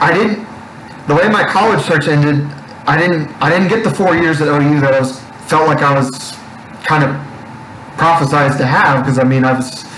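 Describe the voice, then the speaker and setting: A man with an American accent speaks at a moderate pace and a fairly high pitch, with very even loudness, ordinary pitch variation and long, frequent pauses. Noticeable background noise and audible room echo surround the recording. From Oklahoma Panhandle. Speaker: sports podcast co-host. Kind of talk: casual chat. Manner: animated.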